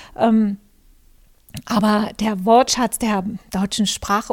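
Her pace is fairly slow. The woman's voice is fairly high. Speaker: podcast host and journalist. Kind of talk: casual monologue. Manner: hesitant with many fillers.

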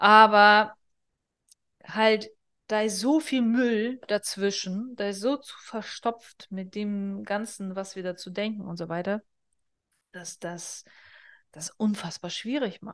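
Speaking at a very slow pace with long, frequent pauses, a woman uses medium pitch and ordinary pitch variation, her loudness swinging widely. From northern Kazakhstan. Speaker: business therapist and podcast host. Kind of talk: solo podcast monologue. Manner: casual, conversational with fillers.

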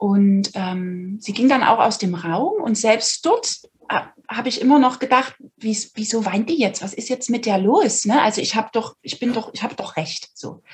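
Her pitch is fairly high, with ordinary variation. The woman has an unremarkable speaking voice. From Saxony, Dresden. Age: 30s. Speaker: podcast guest sharing personal story. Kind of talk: personal testimony in interview. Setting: video recording.

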